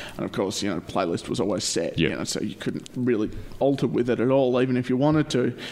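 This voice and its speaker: A man with an Australian accent, medium in pitch with ordinary pitch variation, talking at a very fast pace over noticeable background noise. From Perth, Australia. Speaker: podcast host. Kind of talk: casual chat. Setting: living room, echoey. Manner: chatty, jokey.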